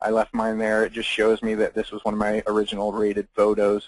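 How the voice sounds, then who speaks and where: A man talks at a fairly quick pace, recorded with a dry, close sound and no echo. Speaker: photographer presenting a webinar. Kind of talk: webinar tutorial. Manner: fast.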